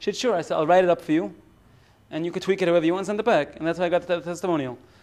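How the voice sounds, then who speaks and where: The voice belongs to a man with an American accent. It sits high in pitch. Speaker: rabbi and business consultant. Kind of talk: business seminar talk. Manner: conversational, frequent fillers and restarts.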